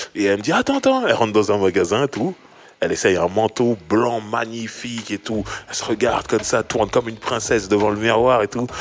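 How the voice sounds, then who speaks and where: Here a man speaks in a normal speaking voice at a medium pitch. His pace is fairly quick, with ordinary pitch variation. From Sarcelles, Paris suburbs, France. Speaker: rapper and podcast host. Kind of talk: casual chat.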